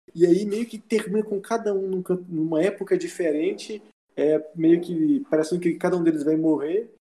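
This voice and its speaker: A man's high-pitched voice with a dark, mellow tone and ordinary pitch variation. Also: moderate pace. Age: 20s. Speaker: website writer. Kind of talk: casual chat.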